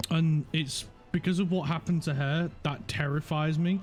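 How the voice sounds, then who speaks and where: A man speaks at a fairly high pitch with ordinary pitch variation in a Yorkshire accent, music playing in the background. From Yorkshire, northern England. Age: 30s. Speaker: gaming streamer. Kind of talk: casual chat. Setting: live stream. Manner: halting, repeats words.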